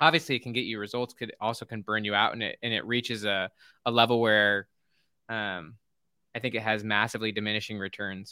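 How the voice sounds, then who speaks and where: In a very clean recording with a silent background and a dry, close sound with no echo, a man with an American accent talks at a fairly quick pace in a fairly low pitch, with a bright, sharp tone, fairly even intonation, and long, frequent pauses. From Utah. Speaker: organizational psychologist and author. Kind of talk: interview. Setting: live video stream.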